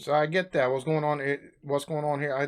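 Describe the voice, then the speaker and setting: In a very clean recording with a silent background, a man with an American accent speaks at a moderate pace. He has an ordinary speaking voice, pitched fairly high. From United States. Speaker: reaction YouTuber. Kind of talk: casual reaction commentary to camera. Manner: casual, chatty.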